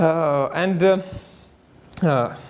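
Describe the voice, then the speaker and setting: In a Russian accent, a man speaks with a high pitch and ordinary pitch variation. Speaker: astrophysicist. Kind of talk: conference talk. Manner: halting, many filler sounds.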